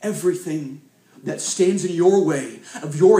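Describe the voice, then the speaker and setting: With an American accent, a man talks at a moderate pace in a fairly high pitch, and audible room echo surrounds his voice. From US South, Arkansas. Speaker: youth evangelist. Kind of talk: sermon.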